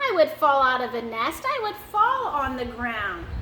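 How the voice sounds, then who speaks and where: A woman uses a put-on character voice at a high pitch. She talks at a moderate pace over clear background noise. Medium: read story.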